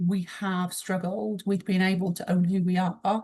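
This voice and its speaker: Against a quiet background, a woman of medium pitch speaks in a somewhat breathy voice with a British accent. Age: 40s. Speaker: emotional intelligence trainer and mentor. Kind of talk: interview conversation.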